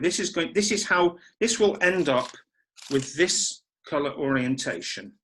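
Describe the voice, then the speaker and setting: A man shouts loudly at a high pitch, with lively intonation. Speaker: origami designer teaching a model. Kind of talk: online folding tutorial. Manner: loud, deliberately shouting.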